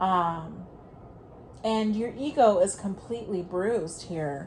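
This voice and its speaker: With lively intonation, a woman speaks at a very slow pace over noticeable background noise. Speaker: tarot reader. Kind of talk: tarot reading, audio only.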